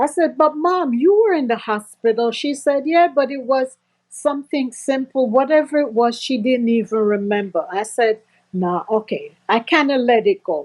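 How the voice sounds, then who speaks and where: Lively intonation from a woman, her voice high in pitch. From Jamaica. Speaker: testimony giver, former nurse. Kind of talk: testimony. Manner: slow speech; halting.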